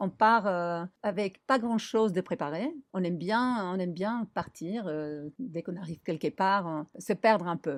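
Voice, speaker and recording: With a Spanish accent, a woman talks at a moderate pace and a fairly low pitch, her pitch varying in an ordinary way over a quiet background. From Argentina, Buenos Aires. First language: Spanish (speaking French). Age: 50s. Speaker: designer and traveller. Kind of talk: interview.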